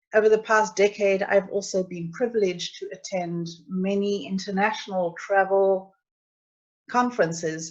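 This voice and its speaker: Against a quiet background, a woman with a South African accent speaks at a moderate pace. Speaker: travel agent. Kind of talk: webinar presentation. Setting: online webinar.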